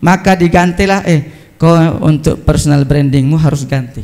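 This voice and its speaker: A man with a Sulawesi accent speaks at a high pitch and a fairly slow pace, with audible room echo. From South Sulawesi, Indonesia (Selayar). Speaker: Islamic preacher. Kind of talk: humorous sermon.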